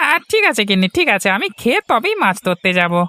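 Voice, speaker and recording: At a fairly quick pace, a female-sounding, cartoonish character voice talks in a medium pitch. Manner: jovial, sweet-talking.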